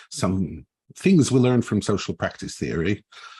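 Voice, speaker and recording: A man with a Swiss accent speaks at a fairly slow pace. His intonation is lively, and the background is quiet. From Switzerland. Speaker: agile and organizational coach. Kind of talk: panel discussion.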